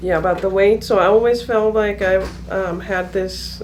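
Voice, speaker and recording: Speaking at a moderate pace, a woman is heard with audible room echo. Noticeable background noise is also present. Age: 30s. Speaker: patient. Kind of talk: casual interview. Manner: halting, many fillers.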